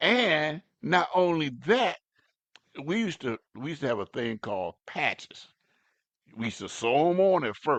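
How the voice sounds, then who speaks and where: Very wide pitch swings mark a man's fairly high voice, delivered at a moderate pace with long, frequent pauses. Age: 70s. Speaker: pastor. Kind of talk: sermon. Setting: live stream. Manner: halting, repetitive.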